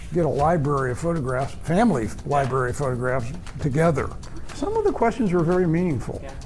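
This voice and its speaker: A man speaks with music in the background. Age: 70s. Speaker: businessman. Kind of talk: interview answer.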